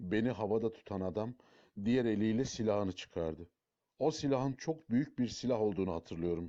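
Over a quiet background, the speaker uses a natural reading voice.

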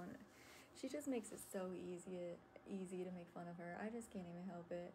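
Fairly even intonation carries the fairly quick speech over light background noise. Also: woman. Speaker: livestreamer. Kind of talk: casual livestream chat. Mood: amused, laughing. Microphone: phone near.

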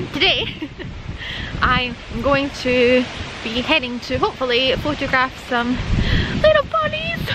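The speaker talks at a fairly slow pace in a Scottish accent. There is noticeable background noise. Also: woman, dry sound with no echo. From Scotland. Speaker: wildlife photographer. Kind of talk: casual talk to camera. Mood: cheerful, self-deprecating. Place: open country. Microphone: phone near.

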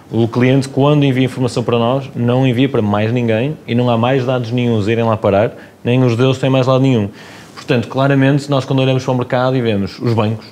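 The speaker goes at a fairly quick pace with fairly even intonation over light background noise. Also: man. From Porto, Portugal. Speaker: company co-founder guest. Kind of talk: casual interview chat. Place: studio. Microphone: lapel.

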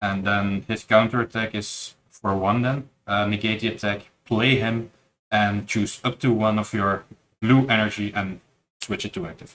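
A man with a normal speaking voice and a fairly low pitch talks at a fairly slow pace with fairly even intonation over light background noise. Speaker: card game player and tournament judge. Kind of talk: casual chat during card game match. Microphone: camera far.

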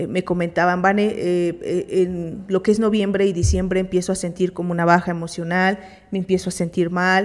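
A woman with a Mexican accent, monotone and flat in intonation, against a quiet background. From Mexico. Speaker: therapist and co-host; co-host. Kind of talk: live radio talk. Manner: halting. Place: studio. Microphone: studio mic.

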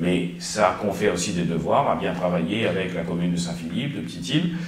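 A man talks at a moderate pace with very wide pitch swings. Audible room echo surrounds his voice. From Réunion. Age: 50s. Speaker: mayor and politician; mayor, politician. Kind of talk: interview. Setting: studio. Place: office.

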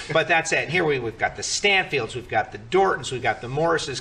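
His pitch moves in an ordinary way. The man keeps a moderate pace. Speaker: show host. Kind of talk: roundtable host introduction. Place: studio. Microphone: podium.

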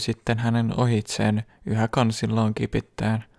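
In a calm, soothing tone, a man speaks at medium pitch and a fairly slow pace, in a dry, close sound with no echo and a very clean recording with a silent background. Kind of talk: bedtime story reading aloud. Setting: ASMR video, close microphone. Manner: slow, soft-spoken, calm and soothing narration; even, gentle pacing with a hushed, intimate tone.

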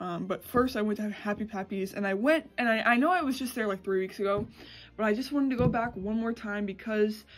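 A woman talks at a fairly quick pace with ordinary pitch variation while faint music plays in the background. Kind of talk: casual vlog chat. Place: home room. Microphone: phone near.

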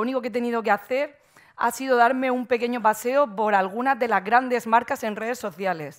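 A woman with a Murcian accent over a quiet background. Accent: Murcian Spanish, drops consonants. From Murcia, Spain; Spain. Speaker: marketing agency owner, conference speaker; conference speaker. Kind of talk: conference talk. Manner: frequent fillers and hesitations; careful pronunciation. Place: stage. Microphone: headset.

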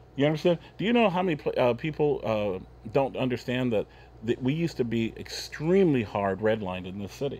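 Speaking with an American accent, a man moves through very wide pitch swings. His pace is fairly quick. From Oregon. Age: 50s. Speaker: businessman; talk show guest. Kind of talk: casual chat. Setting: studio. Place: studio.

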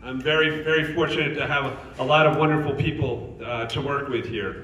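With audible room echo and light background noise, a man talks at a fairly quick pace using ordinary pitch variation. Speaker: retirement community CEO. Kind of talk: casual conversation. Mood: warm, praising. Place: hall. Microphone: handheld.

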